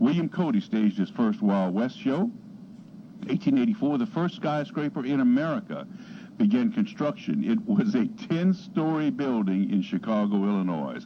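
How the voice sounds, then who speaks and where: A man with a fairly high pitch talks at a moderate pace, his pitch swinging very widely. His tone is dark and mellow, with vocal fry. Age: 60s. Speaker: radio host. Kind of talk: reading aloud; radio talk show.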